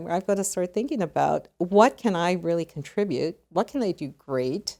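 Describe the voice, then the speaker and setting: A woman with a Canadian accent speaks at a moderate pace and medium pitch. Her tone is dark and mellow, and her intonation is lively. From Canada. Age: 60s. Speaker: retired legal executive. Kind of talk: podcast interview.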